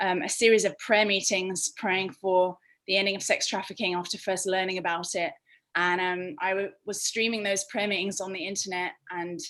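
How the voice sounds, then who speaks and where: A British accent with fairly even intonation at a moderate pace. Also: woman, medium pitch for a woman. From England, London. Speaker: anti-trafficking nonprofit worker. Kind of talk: interview answer. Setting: video call.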